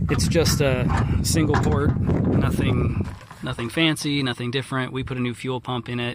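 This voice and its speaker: A man speaks at a medium pitch with an American accent and ordinary pitch variation. His pace is moderate, and there is noticeable background noise. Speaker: vlogger selling his car. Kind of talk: walkaround video. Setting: outdoors. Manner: loud; casual, halting with fillers.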